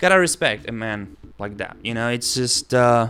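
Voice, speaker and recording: At a moderate pace, a man with a medium pitch and a bright, sharp tone speaks with ordinary pitch variation. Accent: Spanish. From Argentina. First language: Spanish. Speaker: singing course creator. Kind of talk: casual commentary video.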